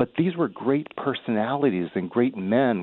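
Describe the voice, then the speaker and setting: Here is a man with an unremarkable speaking voice at a medium pitch. He uses lively intonation and a fairly slow pace. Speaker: caller. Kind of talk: talk radio call. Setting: phone call.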